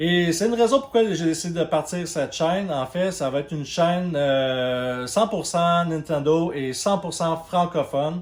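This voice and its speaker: A man talks at a high pitch with ordinary pitch variation and noticeable background noise. His pace is fairly slow, yet he leaves hardly any pauses. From Quebec. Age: 30s. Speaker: YouTuber, video game channel host. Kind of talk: channel introduction monologue. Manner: hesitant, many fillers.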